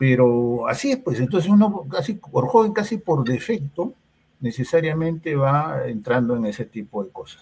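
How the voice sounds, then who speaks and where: A man's fairly high voice swings very widely in pitch as he talks at a moderate pace. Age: 60s. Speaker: psychologist. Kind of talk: interview. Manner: hesitant, many fillers.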